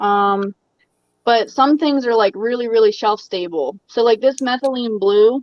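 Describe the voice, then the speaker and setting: With a Baltimore accent, a woman speaks at a moderate pace in a fairly high pitch with ordinary pitch variation. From Maryland, Baltimore. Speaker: aquarium hobby youtuber, guest. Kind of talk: casual livestream chat.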